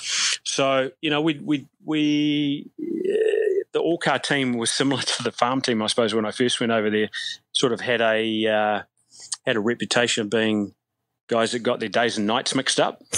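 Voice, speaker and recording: A man with a New Zealand accent talks at a moderate pace and medium pitch, with ordinary pitch variation and a dry, close sound with no echo. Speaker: softball coach and former player. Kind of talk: casual interview. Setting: remote call from abroad.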